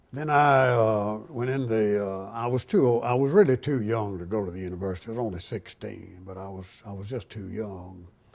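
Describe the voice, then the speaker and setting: Speaking with an Alabama accent, a man uses a fairly low pitch, ordinary pitch variation and a moderate pace. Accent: Alabama Southern US. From US South, Tuscaloosa, Alabama. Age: 80s+. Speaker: war veteran. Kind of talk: oral history interview. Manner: halting.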